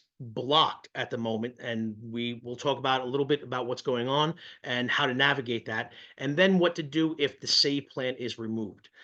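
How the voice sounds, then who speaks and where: A man's bright, sharp tone at a fairly quick pace over a quiet background. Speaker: student loan counselor. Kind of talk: webinar presentation. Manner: fast.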